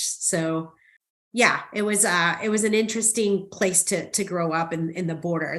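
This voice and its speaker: With a Spanish accent, a woman talks in a fairly low pitch and a monotone, flat intonation. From South Texas (Rio Grande Valley), from Mexico City until age ten. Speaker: marketing executive. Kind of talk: interview on a podcast.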